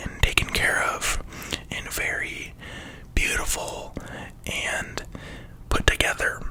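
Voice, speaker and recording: Whispering at a very slow pace, a woman is heard against noticeable background noise. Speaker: ASMR content creator. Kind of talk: whispered ramble, casual talk to camera. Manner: whispered, soft, rambling, hesitant with fillers.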